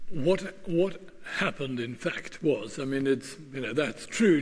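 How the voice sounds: A man speaks at a moderate pace and a medium pitch with ordinary pitch variation. Audible room echo surrounds his voice.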